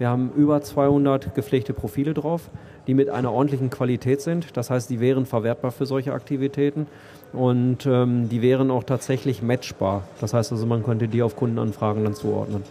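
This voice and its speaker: Using an ordinary speaking voice, a man talks at a fairly quick pace with a medium pitch and fairly even intonation. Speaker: IT company executive. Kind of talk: interview. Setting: stage at a trade fair. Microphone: old poor microphone.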